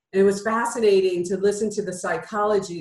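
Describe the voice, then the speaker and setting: Here a woman talks in a plain, everyday voice. Her pitch sits at a medium level, with ordinary pitch variation. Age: 50s. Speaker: entrepreneur and business coach. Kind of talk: interview.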